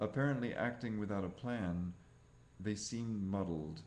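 With a dark, mellow tone and fairly low pitch, a man speaks at a fairly slow pace with ordinary pitch variation. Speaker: reader of translated texts. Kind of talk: audiobook-style reading aloud of translated scripture. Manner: formal, even, deliberate. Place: home room. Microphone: webcam.

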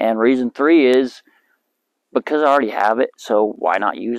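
A man speaks at a moderate pace with fairly even intonation, his voice dry with no echo against a quiet background. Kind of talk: tutorial. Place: open country.

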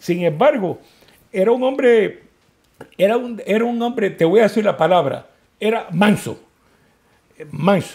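Against a quiet background, a man speaks at a high pitch with ordinary pitch variation. His pace is fairly slow, with long, frequent pauses. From Cuba, Santiago de Cuba; Cuba. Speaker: political activist, Cuban exile; interviewee. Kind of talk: interview. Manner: halting, many repetitions. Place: office.

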